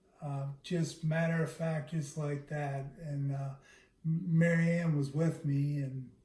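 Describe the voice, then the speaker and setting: Somewhat breathy male voice, dark and mellow in tone, monotone and flat, at a fairly slow pace with audible room echo. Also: fairly high pitch for a man. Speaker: husband living with Parkinson's, video series host. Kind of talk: casual chat. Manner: halting.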